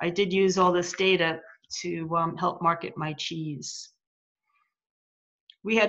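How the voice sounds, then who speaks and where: A woman's ordinary speaking voice, fairly low in pitch, fairly even in intonation, at a fairly slow pace. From US. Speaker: farmer and grazing coach. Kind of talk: reading aloud. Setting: video call.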